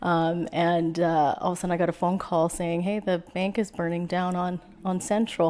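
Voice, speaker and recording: A woman with a western Canadian accent, dark, mellow tone, fairly low pitch, moderate pace and monotone, flat intonation. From western Canada, Prince George BC. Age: 40s. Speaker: small-town mayor. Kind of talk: podcast interview.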